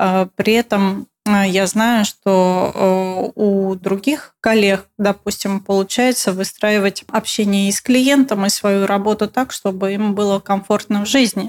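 A woman speaks very slowly, with hardly any pauses and fairly even intonation at a medium pitch. The sound is dry and close, with no echo. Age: 30s. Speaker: interior designer. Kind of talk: interview.

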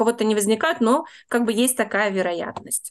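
Speaking at a moderate pace with a fairly high pitch, a woman has an unremarkable speaking voice. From Russia, Saint Petersburg. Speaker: tour guide, emigrant. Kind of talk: interview.

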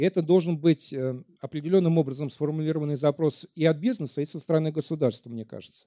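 A man talks at a very fast pace in a dark, mellow tone, his pitch fairly high with ordinary variation and his loudness swinging widely. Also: dry, close sound with no echo. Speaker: lecturer. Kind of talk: lecture. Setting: stage with audience.

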